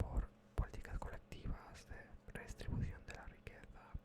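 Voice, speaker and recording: A man whispering in a calm tone. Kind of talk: ASMR soft-whispered explainer about politics. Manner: soft-spoken, calm, whispered.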